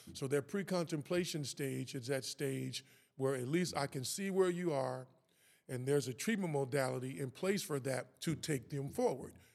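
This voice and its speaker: This man has an ordinary speaking voice with a fairly high pitch, ordinary pitch variation and an American accent, speaking at a moderate pace on a very clean recording with a silent background. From Kansas City, Missouri. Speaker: author and personal development worker. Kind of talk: interview conversation.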